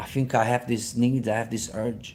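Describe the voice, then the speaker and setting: A man with a medium pitch and a dark, mellow tone, speaking at a moderate pace with an Italian accent. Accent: non-native, Italian. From Sicily, Italy. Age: 40s. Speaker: personal trainer and triathlete. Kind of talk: live stream chat. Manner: casual, halting with fillers.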